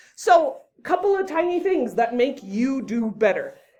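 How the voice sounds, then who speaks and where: With a dark, mellow tone, a woman talks at a fairly slow pace, her pitch swinging very widely amid audible room echo. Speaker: debate coach. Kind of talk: lecture.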